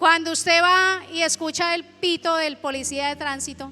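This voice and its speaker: Raised and projected, a woman's voice sits at an extremely high pitch with a bright, sharp, animated tone, ordinary pitch variation and a fairly slow pace. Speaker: pastor. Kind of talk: sermon.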